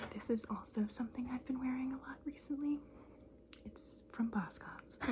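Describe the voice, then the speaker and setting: Soft-spoken, a woman talks at a moderate pace. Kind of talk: ASMR show-and-tell, casual talk to camera. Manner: soft-spoken, chatty.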